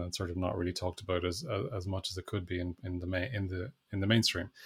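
A man with a very deep, low pitch speaks in a somewhat breathy voice at a fairly quick pace. His intonation is fairly even, and the recording is very clean with a silent background. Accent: Irish. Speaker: education researcher and author. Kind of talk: interview. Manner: halting, frequent fillers and restarts.

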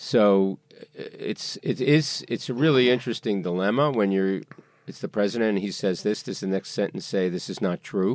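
In a very clean recording with a silent background, a plain, everyday voice speaks at a moderate pace with a dry, close sound and no echo. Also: man, fairly low pitch for a man, ordinary pitch variation. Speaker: veteran newspaper editor and journalist. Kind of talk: interview.

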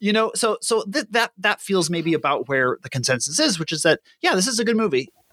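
With hardly any pauses and a fairly quick pace, a bright, sharp voice makes very wide pitch swings in a dry, close sound with no echo. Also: man, high pitch for a man. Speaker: podcast co-host. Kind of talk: casual chat. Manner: halting.

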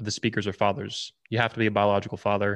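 A man's very fast speech at a fairly low pitch, on a very clean recording with a silent background. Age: 30s. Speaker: conference organizer. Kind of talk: casual chat.

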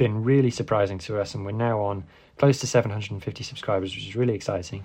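A somewhat breathy man at a medium pitch, very fast, with ordinary pitch variation. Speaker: podcast host. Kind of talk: casual news rundown podcast.

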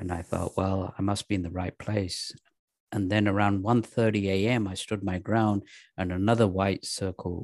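In an English accent, a man with a very deep, low pitch speaks in a monotone, flat way, recorded with a dry, close sound with no echo against a quiet background. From England. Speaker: actor and comedian. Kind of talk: casual chat.

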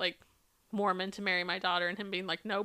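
A woman talks at a medium pitch with flat, monotone intonation. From Arizona. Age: 30s. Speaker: podcast co-host. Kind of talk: casual chat. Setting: home bedroom.

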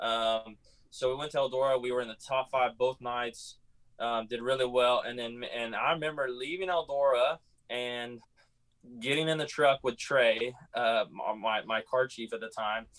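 Here is an ordinary speaking voice: a man of medium pitch with an American accent. He keeps a moderate pace and fairly even intonation. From California. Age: 20s. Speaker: racing driver. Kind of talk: interview.

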